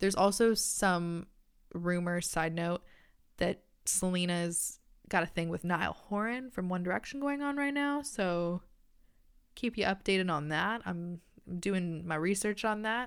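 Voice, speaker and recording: In a very clean recording with a silent background, a woman with an unremarkable speaking voice talks at a fairly slow pace, her medium pitch carrying lively intonation. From Canada. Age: 20s. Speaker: podcast host, university student. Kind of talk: casual solo chat. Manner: casual with frequent fillers and laughs.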